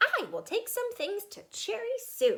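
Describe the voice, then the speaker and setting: A woman uses a put-on character voice, squeaky and extremely high in pitch. She talks at a moderate pace. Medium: read story. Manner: eager, enthusiastic.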